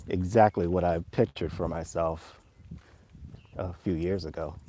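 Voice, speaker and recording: Speaking with an American accent, a man delivers his words at a fairly slow pace in a very deep, dark, mellow voice with monotone, flat intonation. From US, Virginia and Florida. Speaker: vlogger. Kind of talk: casual live stream vlog. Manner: slow, with pauses.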